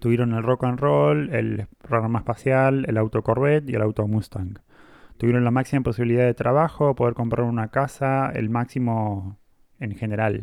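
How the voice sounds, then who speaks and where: A man in a normal speaking voice holds a medium pitch and ordinary pitch variation at a moderate pace. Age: 30s. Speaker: podcast co-host. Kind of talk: casual chat.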